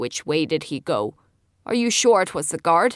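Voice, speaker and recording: A put-on character voice, growling, raspy and gravelly, at a middle pitch. It moves at a moderate pace on a very clean recording with a silent background. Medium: read story. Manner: venomous, sneering.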